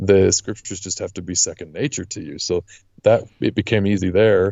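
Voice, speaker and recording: A man with a Western US accent, a fairly low pitch and ordinary pitch variation, at a fairly quick pace with big swings in loudness. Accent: American, western US. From Utah. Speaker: lawyer and podcast guest. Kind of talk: interview conversation.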